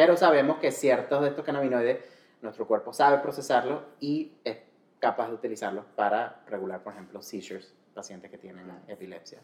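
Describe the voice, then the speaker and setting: A man's voice with lively intonation and big swings in loudness. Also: medium pitch for a man. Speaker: culinary and medical cannabis specialist. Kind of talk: casual interview chat. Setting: in person, sitting together. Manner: Spanish with frequent switches into English.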